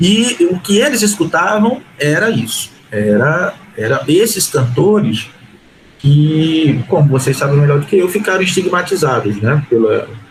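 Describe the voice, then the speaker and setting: A man speaks with very wide pitch swings. There is noticeable background noise. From Recife, Brazil. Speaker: historian. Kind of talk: panel discussion.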